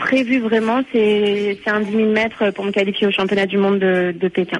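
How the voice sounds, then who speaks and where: A woman's medium-pitched voice at a fairly slow pace, with noticeable background noise. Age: 20s. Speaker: long-distance runner. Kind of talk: radio interview.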